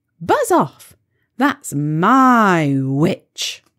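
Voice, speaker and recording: A female-sounding voice is put on as a shrill character at a medium pitch, with very wide pitch swings. The recording is very clean, with a silent background. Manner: menacing, defiant.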